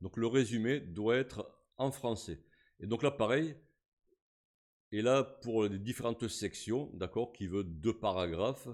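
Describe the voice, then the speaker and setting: A man with a medium pitch speaks at a very slow pace, leaving long, frequent pauses. His pitch variation is ordinary. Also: very clean recording, silent background. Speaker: YouTube tutorial creator. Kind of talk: tutorial. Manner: casual, hesitant with fillers.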